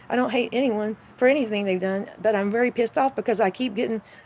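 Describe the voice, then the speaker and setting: A woman's fairly high voice at a fairly quick pace, with fairly even intonation and noticeable background noise. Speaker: personal vlogger. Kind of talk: emotional monologue. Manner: halting.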